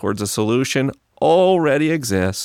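A normal speaking voice with an American accent at a fairly slow pace, in a dry, close sound with no echo and a very clean recording with a silent background. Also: man. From US South, Tallahassee, Florida. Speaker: podcaster on faith and science. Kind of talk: interview.

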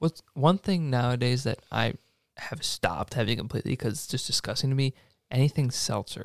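An unremarkable speaking voice with an American accent at a fairly quick pace and ordinary pitch variation, dry and close with no echo on a very clean recording with a silent background. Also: man, medium pitch for a man. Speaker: podcast host. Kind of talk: casual chat. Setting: studio.

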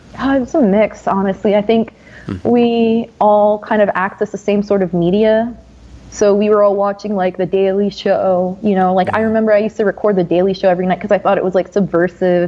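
Speaking at a very fast pace with an American accent, a woman uses a medium pitch and fairly even intonation. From US Northeast, New Jersey. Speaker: university student. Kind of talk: casual chat.

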